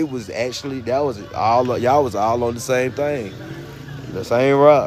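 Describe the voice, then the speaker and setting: A man speaks with a Southern US accent and ordinary pitch variation. Noticeable background noise runs underneath. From North Carolina, US South. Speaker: livestreamer. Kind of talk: casual chat. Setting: livestream. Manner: animated.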